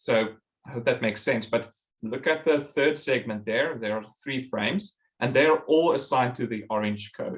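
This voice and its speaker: A man talks at a moderate pace with a medium pitch. It's a plain, everyday voice with ordinary pitch variation. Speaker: professor. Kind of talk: lecture.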